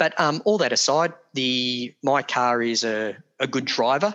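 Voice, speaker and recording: Against a quiet background, a man with an Australian accent speaks with medium pitch in a bright, sharp tone. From Australia (Geelong, Victoria). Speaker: car owner and enthusiast. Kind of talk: casual interview. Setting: video call. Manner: talkative.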